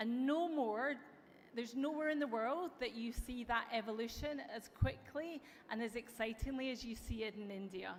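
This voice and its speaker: This woman has a high pitch and an American accent. She keeps a moderate pace with ordinary pitch variation. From Europe. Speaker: tech company executive. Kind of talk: conference keynote speech. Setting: stage with audience. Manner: some filler hesitations (um).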